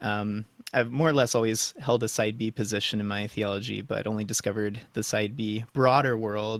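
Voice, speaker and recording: Medium in pitch, a man with an American accent and an unremarkable speaking voice talks at a moderate pace. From US. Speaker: returning podcast guest. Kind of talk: casual interview conversation.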